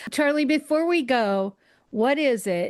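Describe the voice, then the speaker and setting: Against a quiet background, an ordinary speaking voice goes at a fairly slow pace with lively intonation. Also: woman. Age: 60s. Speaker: podcast host. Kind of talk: casual interview chat.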